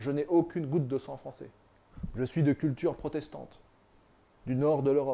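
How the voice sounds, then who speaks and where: His voice is fairly high for a man, with a dark, mellow tone. The man keeps a moderate pace and fairly even intonation. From France. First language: northern European language (speaking French). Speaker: political commentator, author. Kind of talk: political monologue. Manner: halting, with repetitions.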